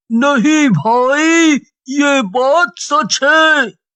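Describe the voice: The speaker uses a cartoonish character voice pitched high.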